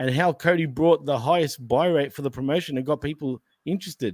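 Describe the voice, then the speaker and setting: Speaking at a very fast pace with an Australian accent, a man keeps a fairly high pitch and ordinary pitch variation. The recording is very clean, with a silent background and a dry, close sound with no echo. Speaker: wrestling podcast host. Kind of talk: casual chat.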